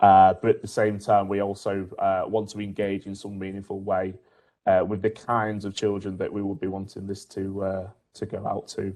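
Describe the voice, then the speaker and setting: The tone is dark and mellow, with monotone, flat intonation. The pace is moderate. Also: man, fairly low pitch for a man. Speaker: university researcher in media and filmmaking education. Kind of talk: online panel discussion. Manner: hesitant, many fillers.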